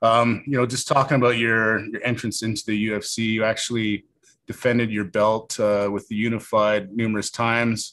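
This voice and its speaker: The man has a medium pitch and a Canadian accent. His intonation is monotone and flat, at a moderate pace. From Canada, small-town Alberta (Carstairs). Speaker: podcast host, MMA coach. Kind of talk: interview. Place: studio. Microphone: studio mic.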